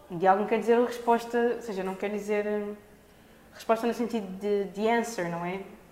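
A woman at a fairly high pitch, flat and monotone, moderate in pace, with audible room echo and noticeable background noise. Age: 20s. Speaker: dancer and performer. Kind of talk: casual chat. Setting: studio. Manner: halting.

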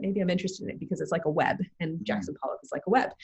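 A woman with a medium pitch and ordinary pitch variation speaks in a somewhat breathy voice. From Canada, Toronto. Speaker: social entrepreneur, business school fellow. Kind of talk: interview conversation.

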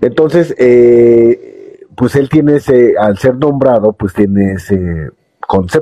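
This man speaks at a very slow pace and medium pitch, his intonation lively and his loudness very even. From Mexico. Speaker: podcast host. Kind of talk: live-streamed podcast monologue. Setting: live stream on a phone app. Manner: calm, sleep-inducing.

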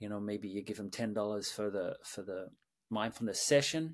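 With an Australian accent and a calm tone, a man speaks at a fairly low pitch in a very clean recording with a silent background. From Sydney, Australia. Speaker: mindfulness teacher and creative director. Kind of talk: guided meditation and interview answers. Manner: calm, hesitant with filler words.

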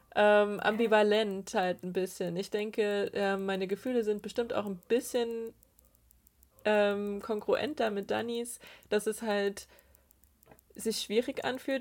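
The woman's pitch is fairly high, her intonation monotone and flat, and her pace fairly slow. The recording is very clean, with a silent background. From Saxony, Eastern Ore Mountains. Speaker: theology student and synodal delegate. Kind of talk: casual podcast interview.

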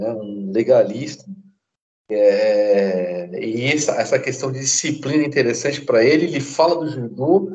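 The speech has lively intonation and moves at a fairly slow pace. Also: man. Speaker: podcast host, martial arts teacher. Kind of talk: casual chat. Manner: more serious than usual.

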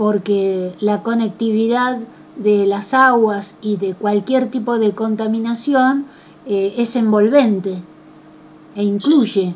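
A woman with a fairly high voice speaks very slowly. Her intonation stays fairly even. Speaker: radio host. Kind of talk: radio interview.

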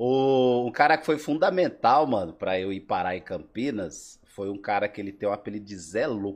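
With hardly any pauses, a man speaks in a normal speaking voice at a moderate pace. His pitch is fairly low and his intonation lively. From Brazil, Alagoas. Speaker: breakdancer. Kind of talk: casual chat.

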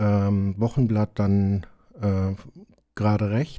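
Recorded very cleanly against a silent background, a man talks at a fairly slow pace in a dark, mellow tone. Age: 50s. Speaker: self-help group member. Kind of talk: interview.

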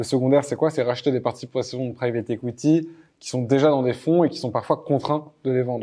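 Fairly quick in pace, a man talks at a medium pitch with a dark, mellow tone. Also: quiet background. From France. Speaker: podcast host, startup cofounder. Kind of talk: interview. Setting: office in Paris. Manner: hesitant, filler words.

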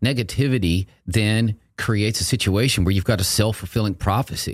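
With an American accent, a man talks at a moderate pace in a fairly low, somewhat breathy voice with lively intonation. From Texas. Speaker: marathon running coach. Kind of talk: casual interview chat.

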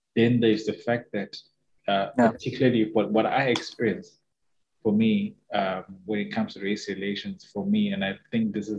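In a Zimbabwean accent, a man with a fairly low pitch speaks at a fairly quick pace with fairly even intonation. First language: Shona. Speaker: podcast co-host. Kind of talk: casual chat.

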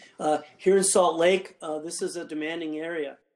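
A man speaks with a western US accent at a fairly high pitch. His intonation stays fairly even. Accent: western American. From Nevada, Carson Valley (Gardnerville). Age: 50s. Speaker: pastor. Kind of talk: casual interview, personal testimony.

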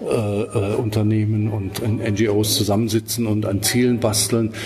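A man with a fairly low-pitched voice talks over noticeable background noise. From Swabia, southern Germany. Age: 50s. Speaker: documentary filmmaker. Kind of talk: interview.

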